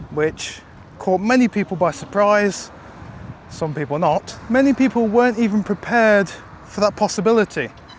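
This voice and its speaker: A man speaks at a high pitch and moderate pace with ordinary pitch variation. Noticeable background noise is present. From England. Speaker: vlogger. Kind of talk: casual vlog monologue.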